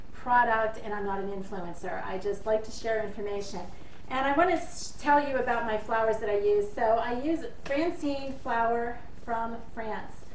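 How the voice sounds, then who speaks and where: A woman speaks amid light background noise, with audible room echo. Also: ordinary pitch variation, moderate pace. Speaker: home baking vlogger. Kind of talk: tutorial. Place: kitchen. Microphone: camera far.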